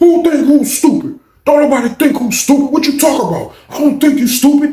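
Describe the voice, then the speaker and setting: A man uses a put-on character voice at an extremely high pitch, talking at a fairly quick pace. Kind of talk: casual, colloquial.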